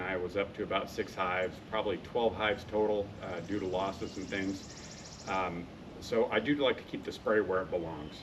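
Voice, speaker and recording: Noticeable background noise behind ordinary pitch variation. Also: man. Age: 60s. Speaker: YouTube product reviewer. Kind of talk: product review tutorial. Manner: casual, many filler 'uh's.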